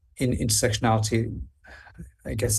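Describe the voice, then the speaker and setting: At a fairly quick pace, a man speaks with a fairly low pitch and vocal fry. His tone is dark and mellow. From Wales. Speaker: health researcher, speaker. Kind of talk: Q&A answer.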